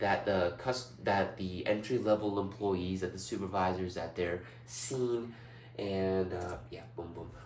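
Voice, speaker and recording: In a room with audible echo, a man speaks slowly at a fairly low pitch with ordinary pitch variation. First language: not English. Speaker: student. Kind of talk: class presentation. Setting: indoors presenting before a large TV screen. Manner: animated.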